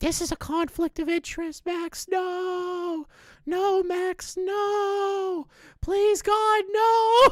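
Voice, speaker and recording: A put-on character voice at an extremely high pitch, delivered at a very slow pace in a very clean recording with a silent background. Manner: pleading, anxious.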